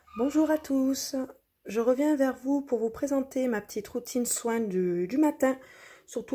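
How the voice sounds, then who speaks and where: A woman speaks in a high voice with a relaxed tone. Her pace is fairly slow, and her pitch varies in an ordinary way. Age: 30s. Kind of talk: casual talk to camera, skincare routine. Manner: chatty, relaxed.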